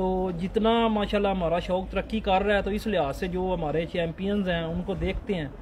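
With light background noise behind him, a man talks at a moderate pace in a high voice with fairly even intonation. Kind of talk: interview answer.

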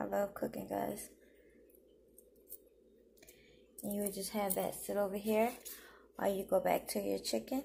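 Fairly slow speech over light background noise. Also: woman. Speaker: home cook vlogger. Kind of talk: tutorial. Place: kitchen. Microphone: phone near.

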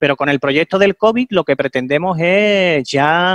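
Against a quiet background, a man uses a normal speaking voice with lively intonation at a fairly slow pace, the sound dry with no echo. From Andalusia, Spain. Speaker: veterinarian. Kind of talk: interview answer. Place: home room. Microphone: headset.

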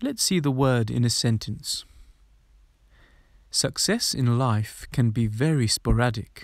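A man with a British accent speaks at a fairly slow pace with ordinary pitch variation. Long, frequent pauses fill a very clean recording with a silent background. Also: medium pitch for a man, very even loudness. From London. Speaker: English teacher. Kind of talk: vocabulary lesson. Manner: clear, slow.

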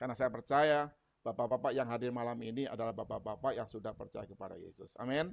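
A man talks at a very fast pace with big swings in loudness and ordinary pitch variation. The background is quiet. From Indonesia. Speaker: preacher. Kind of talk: sermon. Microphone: earbuds.

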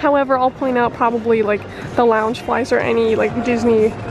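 Against noticeable background noise, a woman speaks at a high pitch with ordinary pitch variation. The sound is dry with no echo. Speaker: travel vlogger. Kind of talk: casual vlog chat. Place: shop. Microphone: phone near.

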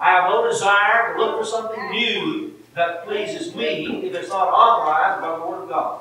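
A raised, projected voice at a moderate pace, with strong room echo and light background noise. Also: man. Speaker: preacher. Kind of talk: sermon. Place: church.

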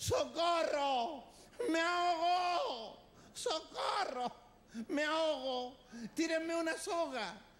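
Amid clear background noise, a put-on character voice shouts at an extremely high pitch, moving at a very slow pace with long, frequent pauses. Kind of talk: comic imitation. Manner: screaming for help.

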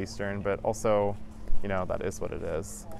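Speaking at a moderate pace, a man has a Western Canadian accent. Light background noise sits under a dry sound with no echo. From Vancouver, British Columbia, Canada. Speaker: educator. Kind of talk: interview answer. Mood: calm, reflective. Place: beach. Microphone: lapel.

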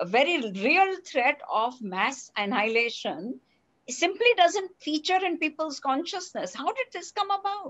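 A woman's high-pitched voice, fairly slow in pace, with very wide pitch swings. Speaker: interviewer. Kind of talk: interview. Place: home room. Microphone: headset.

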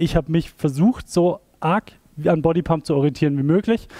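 A man's dark, mellow tone at a moderate pace, with a quiet background. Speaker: fitness instructor. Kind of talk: workout class instruction. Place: gym. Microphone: headset.

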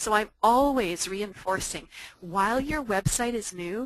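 The sound is dry, with no echo, as a woman speaks with ordinary pitch variation. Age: 50s. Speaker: online entrepreneur and fitness instructor. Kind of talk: webinar presentation. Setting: online webinar. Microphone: video call.

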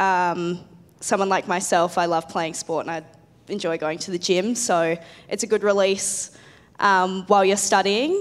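Speaking at a fairly slow pace, a woman with an Australian accent has a medium pitch and fairly even intonation. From Adelaide, Australia; South Australia. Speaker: biomedical science student; panelist. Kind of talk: panel presentation. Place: hall. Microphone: handheld.

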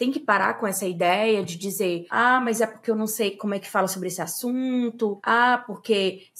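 With an ordinary speaking voice, a woman talks at a fairly slow pace with ordinary pitch variation. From Fortaleza, Brazil. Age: 30s. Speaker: anthropologist and anti-racism activist. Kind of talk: interview.

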